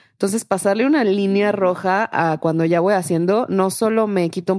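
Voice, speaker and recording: In a dark, mellow tone, a woman speaks at a moderate pace with ordinary pitch variation. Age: 30s. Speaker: startup founder. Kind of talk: interview.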